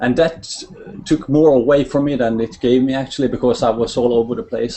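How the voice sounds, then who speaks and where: A man in a Norwegian accent talks at a fairly quick pace over noticeable background noise. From Norway. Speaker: network marketer. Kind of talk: testimony. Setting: video call. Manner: halting.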